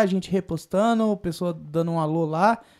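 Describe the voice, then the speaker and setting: Against a silent background in a very clean recording, a man's intonation sounds lively. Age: 20s. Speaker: podcast co-host. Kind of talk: casual chat.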